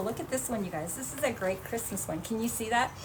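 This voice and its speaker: A high-pitched woman with an animated tone, amid audible room echo and noticeable background noise. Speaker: craft shop presenter. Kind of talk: live tutorial. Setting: livestream. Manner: fast.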